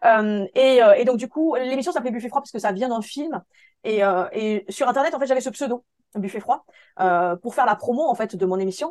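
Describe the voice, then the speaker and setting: With lively intonation and an animated tone, a woman with a high voice speaks at a moderate pace, the sound dry and close with no echo. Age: 40s. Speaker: photographer. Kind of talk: interview.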